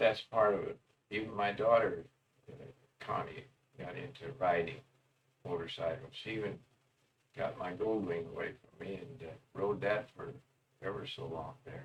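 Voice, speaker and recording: A man with a medium-pitched, somewhat breathy voice speaks at a moderate pace with lively intonation, big swings in loudness, and long, frequent pauses. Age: 80s+. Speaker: old cowboy storyteller. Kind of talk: casual storytelling monologue. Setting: self-recorded on tape. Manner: folksy, meandering.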